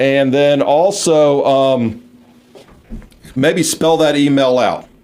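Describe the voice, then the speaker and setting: Very slow speech from a man amid noticeable background noise and audible room echo. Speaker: radio host and minister. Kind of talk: radio talk show.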